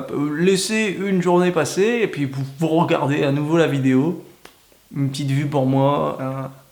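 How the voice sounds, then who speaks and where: Audible room echo surrounds a man with a northern French accent, whose fairly high pitch carries lively intonation. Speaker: YouTuber. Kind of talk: comedic vlog monologue.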